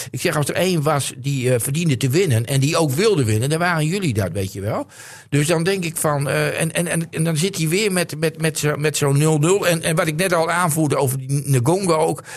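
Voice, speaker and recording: A man with a fairly high pitch speaks at a fairly quick pace, his pitch varying in an ordinary way. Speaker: football pundit. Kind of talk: casual chat. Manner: halting.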